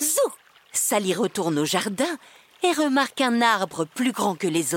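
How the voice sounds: Natural voice, reading aloud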